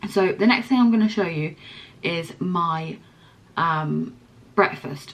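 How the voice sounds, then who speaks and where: In a West Country accent, a woman with a fairly low pitch talks at a very slow pace. Her intonation is lively. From Somerset, England. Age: 20s. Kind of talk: casual talk to camera.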